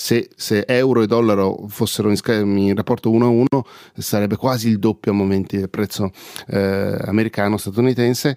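A dark, mellow tone with monotone, flat intonation, dry and close with no echo, on a very clean recording with a silent background. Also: man. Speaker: podcaster reviewing microphones. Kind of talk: casual monologue.

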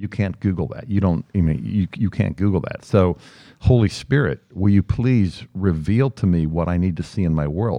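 A man with a very deep, low pitch and an American accent, dark and mellow in tone, with lively intonation at a moderate pace. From Lancaster County, Pennsylvania. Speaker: speakers' agent. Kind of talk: casual interview. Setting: studio.

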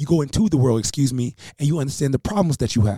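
Fairly high in pitch and dark, mellow in tone, a man talks at a very fast pace. His voice is somewhat breathy, with ordinary pitch variation. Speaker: talk radio host. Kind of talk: rally speech, motivational address to listeners. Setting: live radio broadcast. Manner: impassioned, emphatic, repeating key lines for effect.

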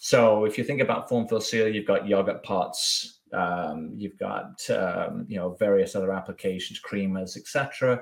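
Fairly slow and with hardly any pauses, a man speaks. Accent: English. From southwest England, Bath. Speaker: packaging business development director. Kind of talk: casual interview chat. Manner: hesitant, many fillers.

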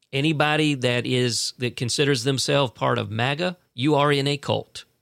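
On a very clean recording with a silent background, a man uses a plain, everyday voice at a moderate pace and fairly high pitch, the sound dry and close with no echo. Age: 50s. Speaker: podcast host. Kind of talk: political commentary monologue. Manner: casual, conversational.

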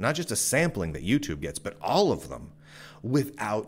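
In a very clean recording with a silent background, a man speaks in an animated tone with very wide pitch swings and vocal fry. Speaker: podcaster and tech commentator. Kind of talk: sales pitch. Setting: video and audio show. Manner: animated, pushy pitchman.

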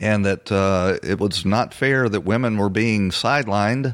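This is an ordinary speaking voice: a man at medium pitch with ordinary pitch variation. He keeps a moderate pace on a very clean recording with a silent background. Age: 60s. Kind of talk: political commentary monologue.

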